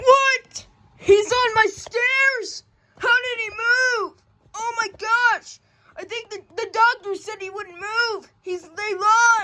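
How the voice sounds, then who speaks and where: A cartoonish character voice pitched extremely high, talking at a very slow pace. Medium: puppet show. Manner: excitable, exclamatory.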